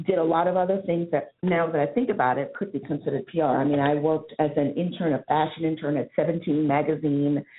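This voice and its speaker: A woman with an American accent speaks at a moderate pace in a fairly low pitch. Her pitch variation is ordinary, and she has a plain, everyday voice. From New York City (Harlem). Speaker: PR agency diversity executive. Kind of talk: interview.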